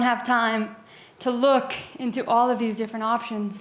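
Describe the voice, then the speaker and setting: Fairly slow speech from a woman at a fairly high pitch, with noticeable background noise. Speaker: audience member, data steward. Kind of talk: audience question.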